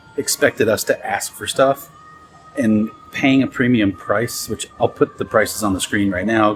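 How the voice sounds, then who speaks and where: A man is speaking. Music plays behind him. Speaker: travel vlogger. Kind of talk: casual vlog narration. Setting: on a train. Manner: soft-spoken.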